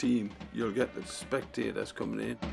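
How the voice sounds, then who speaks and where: A man's voice with music in the background. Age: 70s. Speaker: football club official. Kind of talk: documentary interview.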